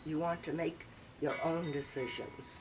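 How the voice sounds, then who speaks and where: Music plays in the background as a woman with an American accent speaks. Her pitch is fairly low and her pace fairly slow. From southern Maine, USA. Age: 80s+. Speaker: retired librarian. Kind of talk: interview answer.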